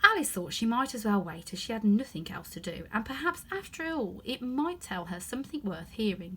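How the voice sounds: The clip carries a natural reading voice.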